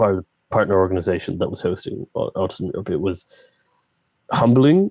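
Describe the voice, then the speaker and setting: A man speaks with a western Irish accent. His pitch is fairly low. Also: dry, close sound with no echo. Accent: Irish (west of Ireland). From Ireland, County Clare. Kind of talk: interview conversation.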